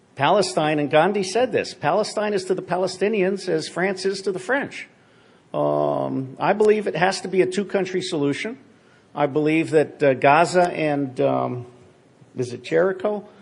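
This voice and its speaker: A man at a moderate pace, high-pitched for a man, with an American accent. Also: ordinary pitch variation. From grew up partly in Asia, American. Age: 60s. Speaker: former spy, conference speaker. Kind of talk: conference Q&A talk. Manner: casual, many fillers and restarts.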